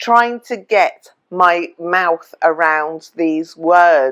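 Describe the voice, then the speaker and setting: In a quiet background, a woman speaks with an English accent. Her pitch is fairly low, with ordinary pitch variation. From England. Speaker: travel vlogger. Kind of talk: casual vlog tutorial.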